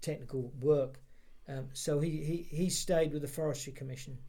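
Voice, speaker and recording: A man with a fairly high pitch and a dark, mellow tone talks at a fairly quick pace, somewhat breathy. His intonation is monotone and flat, and audible room echo surrounds him. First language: Polish. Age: 60s. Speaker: interviewee for heritage project. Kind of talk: oral history interview. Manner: halting, many repeated words.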